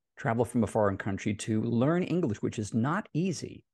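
Against a quiet background, a man is talking. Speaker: composer and music publisher. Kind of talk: interview. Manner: enthusiastic. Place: home room. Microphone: studio mic.

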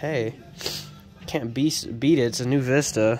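Faint music plays in the background. Over it, a man talks with ordinary pitch variation. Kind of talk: casual show-and-tell commentary. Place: garage. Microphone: phone near.

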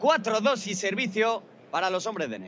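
A man's voice is accompanied by noticeable background noise. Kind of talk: live sports commentary on a padel match. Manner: fast, excitable play-by-play, reacting with gasps and exclamations; rapid, clipped narration of each shot and score.

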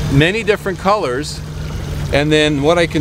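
The recording has noticeable background noise and a dry sound with no echo. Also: man. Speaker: fishing host. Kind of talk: tutorial. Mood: cheerful, relaxed. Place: boat. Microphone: phone near.

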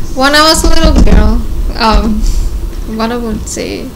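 A woman speaks in a Mexican accent with fairly even intonation. Noticeable background noise runs behind her. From Mexico. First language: Spanish. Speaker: nurse. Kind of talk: casual interview. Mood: relaxed, reminiscing. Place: home room. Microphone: studio mic.

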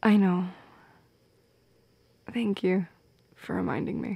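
A woman does a slow, fairly low-pitched put-on character voice with vocal fry, a slightly husky edge and ordinary pitch variation, recorded dry and close with no echo.

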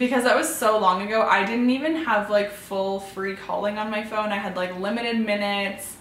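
With audible room echo and light background noise, a woman of medium pitch speaks at a fairly quick pace with fairly even intonation. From Canada. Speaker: lifestyle YouTuber. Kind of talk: personal vlog storytelling. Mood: warm, earnest. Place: home room.

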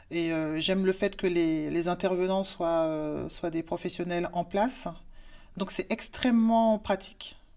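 A woman speaks at a fairly slow pace in a fairly low voice with a dark, mellow tone. Her intonation stays fairly even. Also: quiet background. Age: 40s. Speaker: work-study student. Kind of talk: testimony. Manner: halting, many hesitations. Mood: calm, earnest. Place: office. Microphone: lapel.

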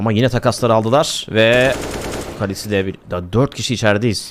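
In an animated tone, a man talks at a fairly low pitch with ordinary variation. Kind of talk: esports match commentary, play-by-play of a CS round. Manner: animated, excitable, rapid-fire, laughing at big plays; uses 'we' for the team, a partisan fan-caster tone.

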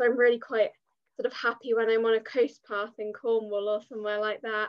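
A woman's fairly high, flat, monotone voice with an English accent, a fairly quick pace and a quiet background. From English Midlands, Leicestershire; English Midlands. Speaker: content creator and writer; podcast guest, freelance content creator. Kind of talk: podcast interview; interview answer. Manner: hesitant, many fillers. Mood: relaxed, friendly. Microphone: video call.

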